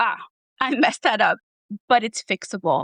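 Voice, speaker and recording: A plain, everyday voice with lively intonation, in a dry, close sound with no echo. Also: woman. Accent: American. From New Jersey. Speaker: therapist and former foster youth. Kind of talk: podcast interview.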